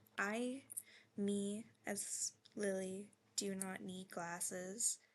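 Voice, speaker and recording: Quiet and flat, a woman speaks at a very slow pace in a monotone. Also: medium pitch for a woman. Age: 20s. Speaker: video journaler. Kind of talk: video diary. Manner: halting.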